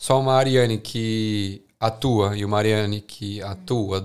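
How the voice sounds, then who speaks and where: A man talks at a fairly slow pace in a plain, everyday voice, with fairly even intonation and hardly any pauses. The recording is very clean, with a silent background. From Brazil, São Paulo. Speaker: podcast host. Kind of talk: casual chat.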